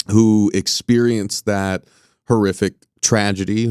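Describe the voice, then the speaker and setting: A man talks with fairly low pitch and fairly even intonation. The recording is very clean and dry, close with no echo and a silent background. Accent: American. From Southern California. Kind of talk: interview. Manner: halting, many fillers.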